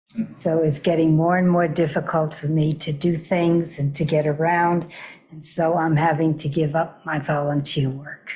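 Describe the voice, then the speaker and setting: This woman has a very deep, low pitch and a dark, mellow tone that is somewhat breathy. She speaks at a moderate pace with monotone, flat intonation. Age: 80s+. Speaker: volunteer board member. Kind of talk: public board meeting discussion.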